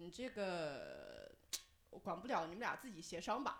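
A woman's plain, everyday voice, medium in pitch, with lively intonation. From Henan, Zhengzhou. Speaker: audience member sharing story. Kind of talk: storytelling. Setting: stage with audience.

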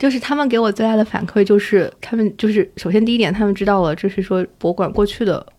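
A woman's medium-pitched voice at a very fast pace, hardly any pauses, ordinary pitch variation. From Shanghai, China. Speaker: museum curator and researcher. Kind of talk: casual interview conversation.

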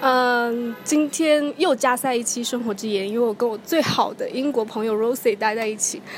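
A woman with a Chinese accent talks at a fairly quick pace with hardly any pauses, her high voice showing ordinary pitch variation. Noticeable background noise is present. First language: Mandarin Chinese. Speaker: podcast host. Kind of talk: casual chat.

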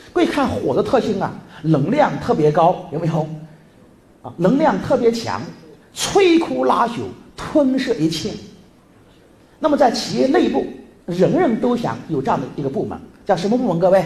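Noticeable background noise fills the clip as the speaker stops often for long pauses. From northern Jiangsu, Lianyungang. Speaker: business trainer. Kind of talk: seminar lecture.

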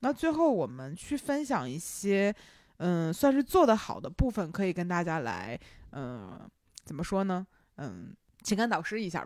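On a very clean recording with a silent background, a woman with a Beijing accent talks with very wide pitch swings and big swings in loudness. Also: medium pitch for a woman, moderate pace. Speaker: podcast host. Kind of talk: casual chat.

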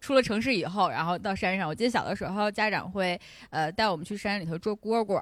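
This woman talks very fast at a medium pitch with ordinary pitch variation. The recording is very clean, with a silent background. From Inner Mongolia, Hulunbuir. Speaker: podcast guest. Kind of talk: casual chat.

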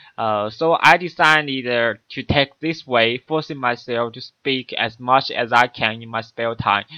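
Hardly pausing, a man talks at a fairly slow pace in a medium pitch with ordinary pitch variation and big swings in loudness. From China. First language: Chinese. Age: 20s. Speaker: university student podcaster. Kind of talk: solo monologue. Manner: halting.

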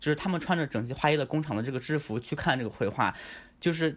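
The recording is very clean against a silent background. A man talks at a fairly high pitch. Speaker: book translator. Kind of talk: panel discussion.

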